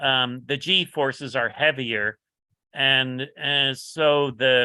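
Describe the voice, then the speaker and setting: With an American accent, a man speaks at a very slow pace, medium pitch and fairly even intonation. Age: 70s. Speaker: motorcycle builder. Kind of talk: casual interview chat. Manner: halting, many fillers.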